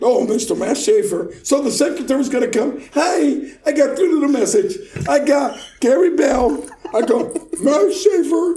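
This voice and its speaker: A man's extremely high-pitched voice with lively intonation at a moderate pace, plus audible room echo and noticeable background noise. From Puerto Rico. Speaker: car audio installer. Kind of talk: casual chat. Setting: studio, recorded in person. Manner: animated.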